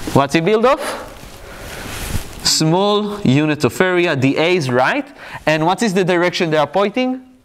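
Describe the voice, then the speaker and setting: In an Israeli accent, the speaker goes at a fairly slow pace with long, frequent pauses, very wide pitch swings and very even loudness over noticeable background noise. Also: man. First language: Hebrew. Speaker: physics lecturer. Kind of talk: lecture.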